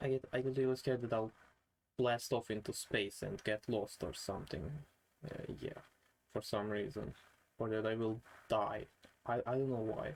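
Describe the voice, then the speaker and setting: At a moderate pace and medium pitch, a man with a non-native accent speaks with ordinary pitch variation and long, frequent pauses. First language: not English. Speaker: vlogger. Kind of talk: casual vlog monologue. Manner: halting.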